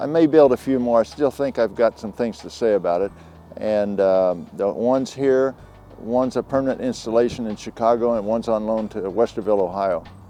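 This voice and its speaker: Music plays in the background while a man speaks at a fairly quick pace. His pitch is medium, with ordinary variation. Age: 70s. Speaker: sculptor and glass artist. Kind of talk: interview about his artwork. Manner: casual with many fillers.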